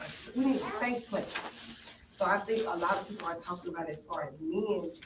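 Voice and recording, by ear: At a moderate pace, a woman talks in a fairly low pitch with ordinary pitch variation, and room echo is audible.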